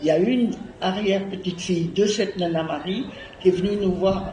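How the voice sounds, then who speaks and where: Her intonation fairly even, a woman speaks at a medium pitch and a fairly slow pace. Audible room echo and noticeable background noise are present. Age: 90s. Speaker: descendant of kiosk donor. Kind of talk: public speech. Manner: halting.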